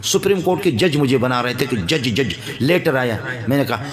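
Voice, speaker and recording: There is noticeable background noise. Over it, a man speaks at a moderate pace with lively intonation. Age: 50s. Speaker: Islamic cleric. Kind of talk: religious speech. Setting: gathering with audience. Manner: impassioned.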